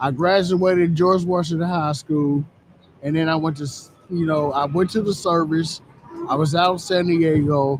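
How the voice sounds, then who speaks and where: A man's plain, everyday voice, fairly high in pitch, with fairly even intonation at a moderate pace. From US South. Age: 50s. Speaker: recovery program participant. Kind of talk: testimony.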